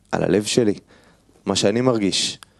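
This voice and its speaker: A man's voice, fairly low in pitch, is heard against a quiet background. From Israel, Haredi family. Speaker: kabbalah student. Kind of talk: personal testimony.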